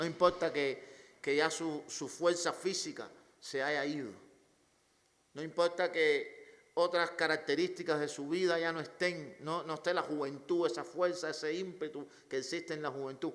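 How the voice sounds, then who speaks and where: A man's fairly high voice with fairly even intonation and audible room echo. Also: fairly slow pace. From Cuba. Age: 40s. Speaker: pastor. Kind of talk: sermon.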